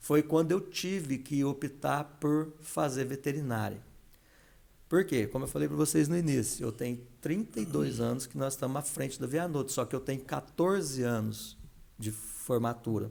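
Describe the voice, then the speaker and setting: A man talks with a dark, mellow tone. His pace is moderate and his pitch variation ordinary. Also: medium pitch for a man. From São Paulo city, Brazil. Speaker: entrepreneur and veterinarian. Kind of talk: podcast interview.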